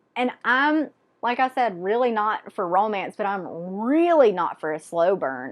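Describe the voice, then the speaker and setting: Against a quiet background, a woman with a Southern US accent talks at a medium pitch with very wide pitch swings. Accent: Southern US (Georgia). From Georgia, US South. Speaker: book vlogger. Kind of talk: casual monologue. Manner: animated.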